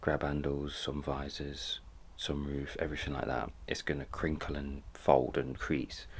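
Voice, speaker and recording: A man with a British accent speaks at a moderate pace. His very deep, low voice carries vocal fry. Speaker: car upholstery vlogger. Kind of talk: vlog.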